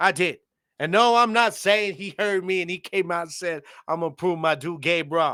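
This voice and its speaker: At a moderate pace, a man uses a raised, projected voice with a bright, sharp tone and ordinary pitch variation, the recording very clean with a silent background. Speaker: sports podcast host. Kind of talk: casual sports commentary rant. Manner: loud; animated.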